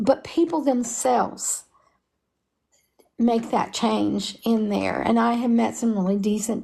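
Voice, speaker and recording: This woman has an Appalachian accent. Her intonation stays fairly even. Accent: Appalachian Kentucky. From Kentucky, Harlan. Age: 70s. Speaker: mother of a convicted prisoner. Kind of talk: interview.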